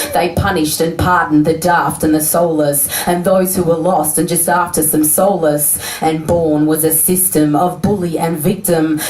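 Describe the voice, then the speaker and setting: Noticeable background noise sits behind a woman whose fairly low voice stays monotone and flat, with very even loudness and hardly any pauses. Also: moderate pace. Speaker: slam poet. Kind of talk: spoken word poetry performance.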